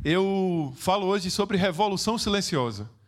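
A man with a Pernambuco accent, high pitch and a very slow pace. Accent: northeastern Brazilian (Pernambuco). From Recife, Pernambuco, northeastern Brazil. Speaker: social project founder and speaker. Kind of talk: motivational stage talk. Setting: stage with audience.

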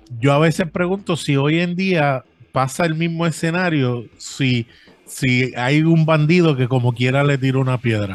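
Here a man talks at a fairly slow pace, his fairly high voice showing ordinary pitch variation. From Brooklyn, New York (born in Puerto Rico). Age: 40s. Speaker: podcaster. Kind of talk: casual chat. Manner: halting, frequent fillers.

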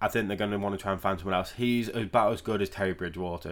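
In a very clean recording with a silent background, a man with a British accent speaks at a fairly low pitch with fairly even intonation. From Britain. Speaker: NFL podcaster. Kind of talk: solo sports predictions podcast. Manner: casual, conversational.

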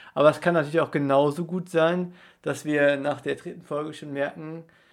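A man with a plain, everyday voice and fairly high pitch talks at a moderate pace. The recording is very clean, with a silent background. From Rhineland-Palatinate, near Koblenz. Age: 20s. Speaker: student podcast co-host. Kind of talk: casual sports chat. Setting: studio room in Passau old town.

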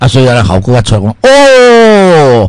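A man speaking at a fairly slow pace. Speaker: radio health show host, doctor selling health products. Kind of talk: radio health talk with sales pitch. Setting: radio studio. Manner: animated; rambling, filler-heavy.

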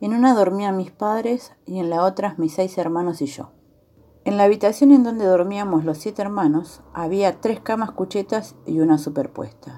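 Her tone dark and mellow, a woman talks at a medium pitch and a moderate pace with ordinary pitch variation. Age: 30s. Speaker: telephone operator, abuse survivor. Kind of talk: testimony.

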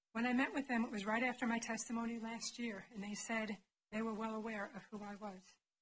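A woman's fairly high, somewhat breathy voice, monotone and flat, at a very fast pace. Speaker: advocate for abuse survivors. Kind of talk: testimony. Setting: committee hearing room. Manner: impassioned.

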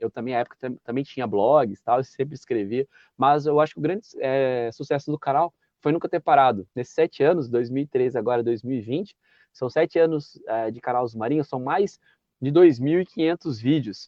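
This man's medium-pitched, plain, everyday voice moves at a moderate pace with ordinary pitch variation. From interior of São Paulo state, Brazil. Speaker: municipal guard and YouTuber. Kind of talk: interview conversation. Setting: video call.

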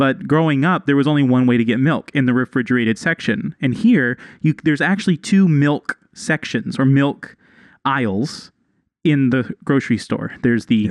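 A man with an American accent has an ordinary speaking voice, lively intonation and very even loudness. The sound is dry and close with no echo, over a quiet background. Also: fairly high pitch for a man, moderate pace. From Texas. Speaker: podcast co-host. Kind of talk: casual chat.

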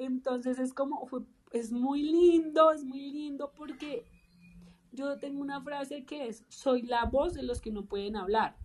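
A fairly slow, high-pitched woman's voice with ordinary pitch variation. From Colombia. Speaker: public speaker and podcaster. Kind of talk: interview testimony. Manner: halting.

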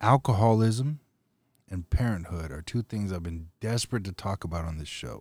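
A plain, everyday voice with an American accent shows lively intonation and big swings in loudness, recorded with a dry, close sound and no echo. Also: man, fairly low pitch for a man, moderate pace. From US. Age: 30s. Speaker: podcast host. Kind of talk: casual chat.

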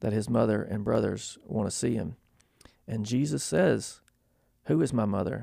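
Vocal fry in an American accent at a moderate pace, on a very clean recording against a silent background. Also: man. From US South. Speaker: university ministry director. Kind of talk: interview. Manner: halting.

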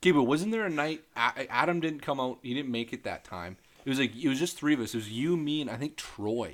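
A man speaks in an unremarkable speaking voice, fairly high-pitched for a man and with lively intonation, at a fairly quick pace with hardly any pauses, on a very clean recording with a silent background. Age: 20s. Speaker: podcast co-host. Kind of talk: casual chat.

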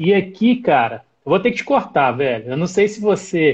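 At a moderate pace, a man talks in a high voice. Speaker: live stream host, mountain guide. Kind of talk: live stream interview. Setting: live stream.

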